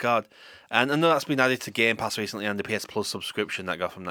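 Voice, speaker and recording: A man talks at a very fast pace with a Yorkshire accent and a bright, sharp tone. His pitch varies in an ordinary way on a very clean recording with a silent background. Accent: Yorkshire, Leeds. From Yorkshire, England. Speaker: radio host. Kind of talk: casual chat. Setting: studio.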